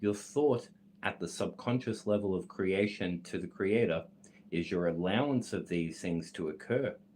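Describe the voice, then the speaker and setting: A man with an Australian accent speaks at a moderate pace in a fairly low pitch, with ordinary pitch variation. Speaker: esoteric content creator reading a text aloud. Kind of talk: reading aloud with commentary. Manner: self-correcting, slightly halting.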